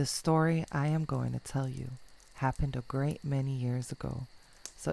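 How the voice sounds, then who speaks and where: With a calm, dark, mellow tone, a woman speaks at a very deep, low pitch. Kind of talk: bedtime story reading, ASMR fairytale narration. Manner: soft, calm, slow.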